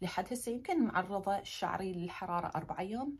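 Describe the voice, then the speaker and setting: Her tone animated and somewhat breathy, a woman talks at a fairly quick pace with ordinary pitch variation over a quiet background. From Iraq. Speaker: lifestyle vlogger. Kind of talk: casual vlog talk to camera. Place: home room. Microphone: phone near.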